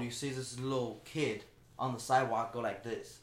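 Speaking with a Chinese accent, a man keeps a moderate pace, a medium pitch and fairly even intonation. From China. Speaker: shoe business owner. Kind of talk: casual interview chat.

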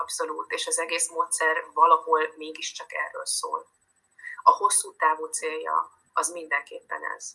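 At a fairly slow pace, a woman talks with big swings in loudness. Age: 40s. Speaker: dance teacher and relationship coach. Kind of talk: interview.

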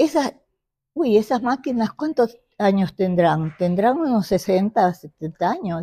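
A woman speaks at medium pitch and a very slow pace, her dark, mellow tone somewhat breathy and her pitch swinging very widely. The sound is dry and close with no echo, on a very clean recording with a silent background. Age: 90s. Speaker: traditional pastry maker. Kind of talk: casual interview. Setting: at her home.

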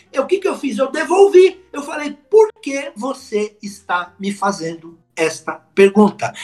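A man speaks at an extremely high pitch with very wide pitch swings. His pace is fairly slow, yet he leaves hardly any pauses. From São Paulo city, Brazil. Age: 50s. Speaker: public speaking coach. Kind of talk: podcast interview. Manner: animated.

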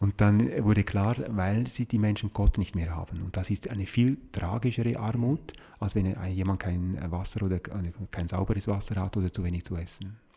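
At a moderate pace with hardly any pauses, a somewhat breathy man speaks at a fairly low pitch with ordinary pitch variation. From Switzerland, Appenzell. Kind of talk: interview conversation. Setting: sacristy of a small chapel.

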